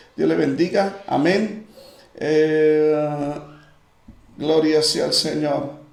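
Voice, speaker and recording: This man's voice is high in pitch. Audible room echo surrounds it. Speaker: pastor. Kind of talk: live-streamed Bible study with greetings and prayer. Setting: online livestream.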